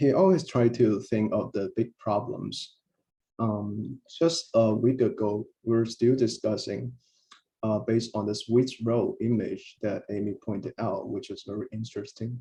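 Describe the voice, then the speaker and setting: A man's fairly slow, somewhat breathy voice at medium pitch, with ordinary pitch variation and a non-native accent. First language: not English. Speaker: researcher, co-author. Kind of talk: memorial tribute. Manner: hesitant, many fillers.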